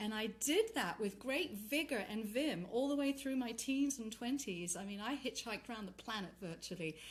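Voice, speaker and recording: Lively intonation marks this somewhat breathy voice with an English accent. The pace is moderate, with hardly any pauses. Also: woman, fairly high pitch for a woman. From England. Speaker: tantra and yoga teacher, retreat leader. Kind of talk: casual chat.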